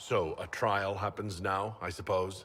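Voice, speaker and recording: A man's put-on character voice, fairly low and fairly slow, with monotone, flat intonation. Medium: video game. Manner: terse, sardonic.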